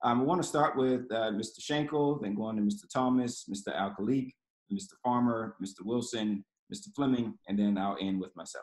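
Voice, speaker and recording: The background is quiet as a man talks with ordinary pitch variation. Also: moderate pace. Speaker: nonprofit program director; panel moderator. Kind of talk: panel moderation. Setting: video call. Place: home room. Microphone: video call.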